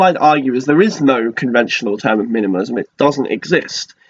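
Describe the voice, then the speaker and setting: Talking at a very fast pace, a man with a British accent uses lively intonation. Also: dry, close sound with no echo. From Britain. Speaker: flight attendant and minimalism vlogger. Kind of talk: casual vlog monologue. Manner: casual with frequent fillers.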